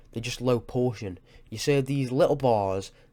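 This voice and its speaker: A man's medium pitch in a dark, mellow tone at a moderate pace, with ordinary pitch variation. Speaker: fitness YouTuber. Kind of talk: tutorial; casual chat. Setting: home webcam recording. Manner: halting, scripted-sounding.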